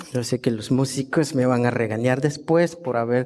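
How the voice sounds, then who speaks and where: A man with a Guatemalan accent, medium-pitched, with a dark, mellow tone and ordinary pitch variation. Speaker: guest preacher. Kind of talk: sermon. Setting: church service.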